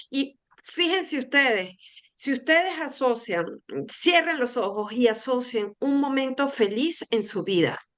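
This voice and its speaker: Her voice is high-pitched, and this woman speaks fairly slowly with lively intonation. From Venezuela. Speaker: food tourism expert. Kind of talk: interview conversation.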